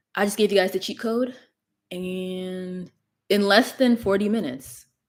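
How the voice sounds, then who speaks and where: A normal speaking voice from a woman, moderately paced and with ordinary pitch variation. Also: medium pitch for a woman. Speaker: gut health content creator. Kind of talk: livestream talk. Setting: livestream.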